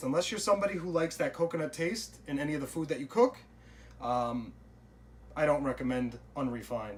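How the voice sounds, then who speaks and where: A man talks with an American accent. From Long Island, New York. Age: 20s. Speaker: cooking and diet vlogger. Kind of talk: casual vlog and cooking tutorial. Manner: casual, frequent fillers (uh, um).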